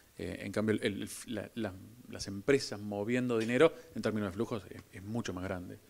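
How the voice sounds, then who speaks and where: A man speaks at a moderate pace with a fairly low pitch and ordinary pitch variation. His loudness shows big swings. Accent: Rioplatense. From Argentina. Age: 40s. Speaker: crypto company executive; guest. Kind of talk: onstage interview at business event. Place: stage. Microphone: handheld.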